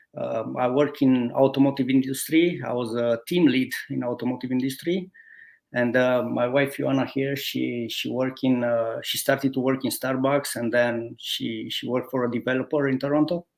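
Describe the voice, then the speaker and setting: On a very clean recording with a silent background, a man with a Romanian accent speaks at medium pitch and a moderate pace, his intonation fairly even. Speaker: guest, former automotive team lead. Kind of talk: interview, telling life story. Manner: halting, many hesitations.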